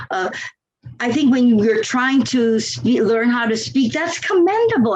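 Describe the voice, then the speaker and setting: A woman with a high voice speaks with lively intonation. There is audible echo in the room. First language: not English. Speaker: longtime Toastmasters member. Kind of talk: podcast interview.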